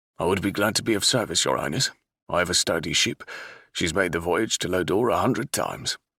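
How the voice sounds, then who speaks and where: In a gruff, put-on character voice, a man with a fairly low pitch races at a very fast pace with ordinary pitch variation and very even loudness, on a very clean recording with a silent background. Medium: read story.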